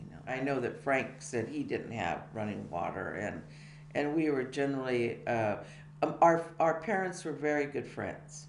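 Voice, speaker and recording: Amid noticeable background noise and audible room echo, a woman with a Californian accent speaks at a moderate pace with lively intonation. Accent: Californian American. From California, USA (Tracy area). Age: 70s. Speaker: biography interviewee. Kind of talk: life-story interview. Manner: halting, many fillers.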